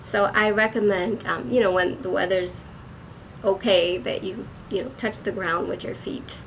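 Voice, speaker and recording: Noticeable background noise surrounds a woman at medium pitch. She speaks at a moderate pace with ordinary pitch variation. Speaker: acupuncturist. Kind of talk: wellness talk.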